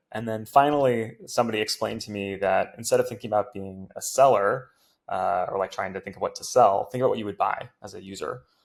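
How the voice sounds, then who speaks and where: With an American accent, a man talks at a very fast pace with big swings in loudness, in a very clean recording with a silent background. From US West Coast, Silicon Valley. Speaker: tech startup founder and CEO. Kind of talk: podcast interview. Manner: hesitant, many filler words.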